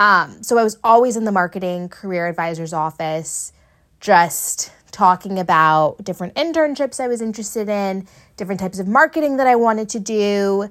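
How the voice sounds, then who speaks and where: In a very clean recording with a silent background, a woman with a normal speaking voice and medium pitch talks at a fairly quick pace with lively intonation. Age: 20s. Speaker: podcast host. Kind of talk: solo monologue. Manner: casual, filler-heavy.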